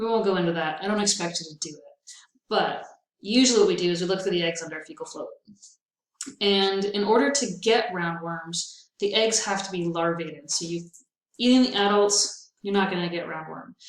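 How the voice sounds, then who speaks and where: A woman speaks in an ordinary speaking voice at a medium pitch, with ordinary pitch variation. Her pace is fairly quick, and her loudness swings widely. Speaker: veterinary technology instructor. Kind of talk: recorded lecture. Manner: casual, upbeat.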